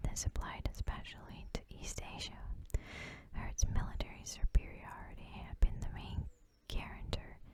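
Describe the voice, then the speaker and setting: The whispering moves along at a moderate pace. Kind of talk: ASMR reading of political text. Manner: whispered.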